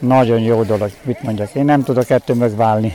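A man's dry, close voice with no echo, over noticeable background noise. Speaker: farmer, corn-husking contestant. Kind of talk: interview. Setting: outdoors at festival.

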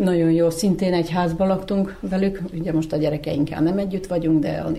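Noticeable background noise runs under a woman's fairly low voice. Her pace is moderate and her intonation fairly even. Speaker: grandmother. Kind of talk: interview.

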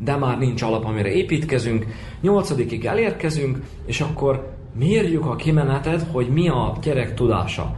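A man's fairly high voice with lively intonation at a moderate pace, with audible room echo and noticeable background noise. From Vojvodina, Serbia (Hungarian minority, Bačka region). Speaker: teacher and school principal. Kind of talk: radio interview.

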